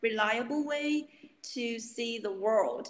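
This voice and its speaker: This woman speaks with a Chinese accent. Her voice is high in pitch. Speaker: university student. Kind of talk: interview.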